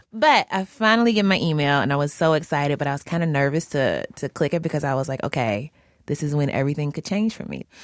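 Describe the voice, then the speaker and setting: A woman speaks very fast in a very deep, low voice, with an animated tone and lively intonation. The recording is very clean, with a silent background. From US South, Louisville, Kentucky. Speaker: podcast host. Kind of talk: casual chat. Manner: animated, laughs often.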